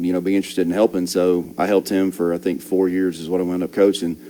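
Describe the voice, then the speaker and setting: A man with an Alabama accent talks very fast in a very deep, low voice with a dark, mellow tone. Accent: Southern US (Alabama). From Alabama, Birmingham. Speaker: high school football assistant coach. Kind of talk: casual interview chat.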